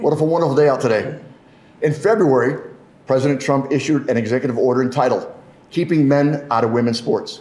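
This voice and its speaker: A man with a fairly high voice talks at a very fast pace with very even loudness, with audible room echo and noticeable background noise. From Michigan. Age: 60s. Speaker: politician. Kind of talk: press conference speech.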